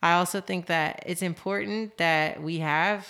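A woman with a fairly low pitch and ordinary pitch variation is heard in a very clean recording with a silent background. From Los Angeles, California. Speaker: professional roller skater and musician. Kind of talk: casual interview.

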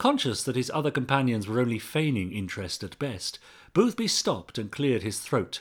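The recording consists of plain reading aloud.

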